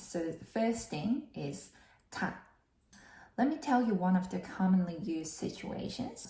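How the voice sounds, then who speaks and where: With a Korean accent, a woman speaks fairly slowly at medium pitch with lively intonation. Audible room echo surrounds her voice. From South Korea. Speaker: vlogger and English learner working office jobs. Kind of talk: casual tutorial vlog. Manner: slightly halting, with fillers.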